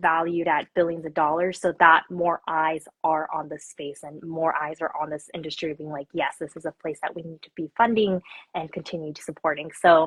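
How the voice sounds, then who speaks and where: In an ordinary speaking voice, a woman with a fairly low pitch talks with big swings in loudness. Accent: General American. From Korea until seven, then US. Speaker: tech company founder. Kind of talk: interview. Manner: casual, many filler words.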